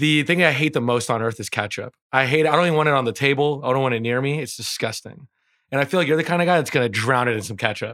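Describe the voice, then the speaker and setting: Very fast male speech of medium pitch with ordinary variation and a bright, sharp tone, in a very clean recording with a silent background. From Persian immigrant family household. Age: 30s. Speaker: podcast co-host. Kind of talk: casual chat.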